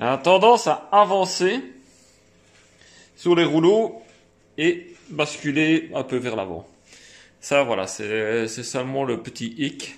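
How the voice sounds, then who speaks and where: A man speaks in a strong Liège accent with very wide pitch swings. His pace is very slow, broken by long, frequent pauses. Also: fairly high pitch for a man, quiet background. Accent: fairly strong Liège (Belgian French). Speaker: car detailing youtuber. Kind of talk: product demo tutorial. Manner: hesitant, many fillers.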